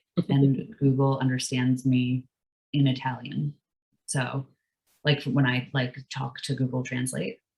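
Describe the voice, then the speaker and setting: The speaker moves at a fairly slow pace, with long, frequent pauses. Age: 30s. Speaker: workshop teacher. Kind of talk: workshop tutorial. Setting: video call. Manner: hesitant, many fillers.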